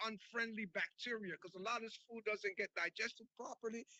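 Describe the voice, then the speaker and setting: A man's animated, high-pitched voice. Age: 70s. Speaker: raw food chef and educator. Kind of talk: interview. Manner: halting, many fillers and repetitions.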